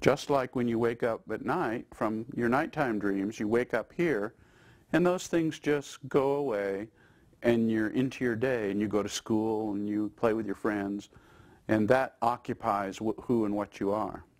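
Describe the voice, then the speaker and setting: A man speaks at a fairly slow pace with ordinary pitch variation and a medium pitch. The recording is very clean, with a silent background. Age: 60s. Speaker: institute president speaking on consciousness. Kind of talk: interview monologue. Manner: reflective, with hesitations.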